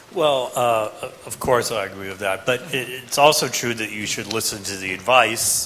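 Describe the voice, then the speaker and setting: A man with an American accent, over noticeable background noise. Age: 50s. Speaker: professor. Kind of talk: panel discussion answering student questions. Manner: halting, with many fillers.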